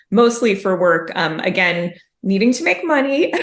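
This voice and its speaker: The speaker has a Chicago accent, a moderate pace and ordinary pitch variation. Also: woman. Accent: Chicago American English. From US Midwest, Chicago. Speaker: mystery author. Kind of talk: interview conversation.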